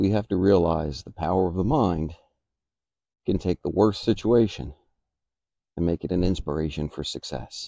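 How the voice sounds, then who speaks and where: The voice has a dark, mellow tone and ordinary pitch variation, recorded dry with no echo against a quiet background. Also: man. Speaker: motivational vlogger. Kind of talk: reflective motivational monologue. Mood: calm, reflective. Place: garden. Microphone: phone near.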